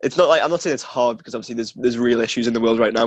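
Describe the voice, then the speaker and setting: A man with a Geordie accent, talking at a very fast pace in a fairly even tone. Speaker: podcast co-host, student. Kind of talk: casual chat.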